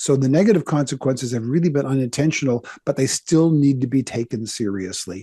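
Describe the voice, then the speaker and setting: Speaking at a very fast pace, a man has a medium pitch, a dark, mellow tone, a somewhat breathy quality, lively intonation and big swings in loudness. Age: 60s. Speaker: pastor and author. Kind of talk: interview.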